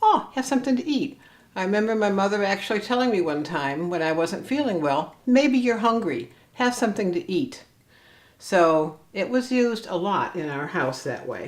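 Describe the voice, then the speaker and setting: Speaking with a Cleveland accent at a moderate pace, a woman uses a medium pitch with very wide pitch swings. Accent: Inland Northern American (Cleveland). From US Midwest, Cleveland, Ohio. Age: 60s. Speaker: vlogger. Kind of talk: personal vlog monologue.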